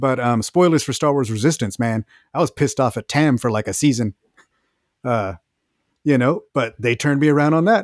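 A man with an American accent talks at a fairly quick pace and medium pitch, his pitch varying normally, with long, frequent pauses. The recording is very clean, with a silent background and a dry, close sound with no echo. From Texas. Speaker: podcast host. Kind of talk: casual chat.

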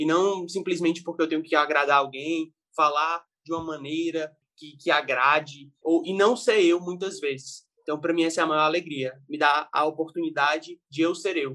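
Using an ordinary speaking voice, a man with a fairly high pitch speaks at a moderate pace with fairly even intonation and hardly any pauses. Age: 20s. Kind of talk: casual chat.

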